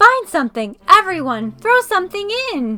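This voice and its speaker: A put-on character voice, female-sounding, at an extremely high pitch with very wide pitch swings and a moderate pace. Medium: read story.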